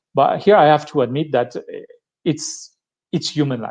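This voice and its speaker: A man's fairly high-pitched voice with a strong French accent and ordinary pitch variation. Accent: thick French. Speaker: tech speaker. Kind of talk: live-streamed tech talk. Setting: live stream. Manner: halting, many fillers and restarts.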